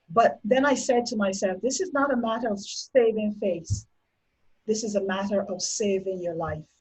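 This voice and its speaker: A woman with a Barbadian accent talks at a moderate pace in a somewhat breathy voice. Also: medium pitch for a woman, ordinary pitch variation. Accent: Barbadian (Bajan) Caribbean English. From Barbados. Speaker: domestic violence survivor. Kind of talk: interview testimony.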